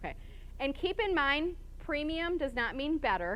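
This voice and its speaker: Audible room echo carries a woman's voice as she speaks at a very fast pace. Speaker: conference speaker. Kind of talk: conference talk. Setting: stage with live and online audience.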